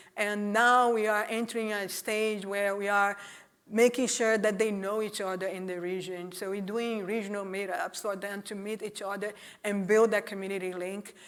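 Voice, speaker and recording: A woman with a Portuguese accent in monotone, flat intonation, at a moderate pace, with audible room echo. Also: medium pitch for a woman. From Brazil. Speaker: executive director of a privacy nonprofit. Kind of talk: conference talk; audience Q&A.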